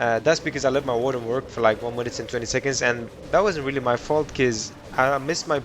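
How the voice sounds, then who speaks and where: Very fast speech with fairly even intonation and noticeable background noise. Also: man. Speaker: gaming youtuber. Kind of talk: gameplay commentary. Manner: casual, halting with self-corrections.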